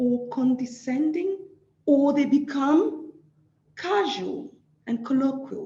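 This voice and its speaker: With an African accent, a woman speaks at a very slow pace in a high pitch, her tone dark and mellow and her intonation lively. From Nigeria. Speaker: social work academic. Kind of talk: lecture.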